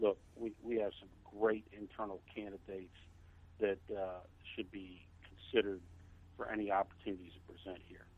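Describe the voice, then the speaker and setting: Speaking at a moderate pace, a man has a fairly low pitch and a monotone, flat intonation. Long, frequent pauses break his speech, and his loudness swings widely. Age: 60s. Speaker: fire chief. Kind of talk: interview. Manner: halting.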